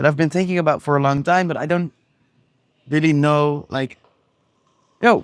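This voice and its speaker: The speaker is a man talking at a fairly quick pace. The recording is very clean, with a silent background. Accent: Dutch. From Netherlands. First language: Dutch. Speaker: entrepreneur vlogger. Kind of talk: casual vlog monologue. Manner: casual, with frequent fillers.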